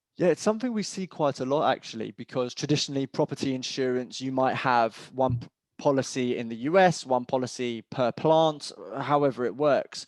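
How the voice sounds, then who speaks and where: A man's medium-pitched voice with a British accent, fairly quick, in a dry, close sound with no echo. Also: ordinary pitch variation, quiet background. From England. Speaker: cyber insurance expert. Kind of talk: webinar panel discussion.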